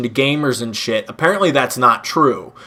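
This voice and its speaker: There is noticeable background noise. A man speaks at a moderate pace with ordinary pitch variation. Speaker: gaming YouTuber. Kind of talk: casual rant. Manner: animated.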